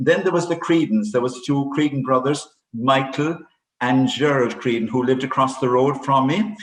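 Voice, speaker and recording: A man at a moderate pace, medium pitch, with ordinary pitch variation. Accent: Cork. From Ireland, West Cork. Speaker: priest. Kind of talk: interview. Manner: halting.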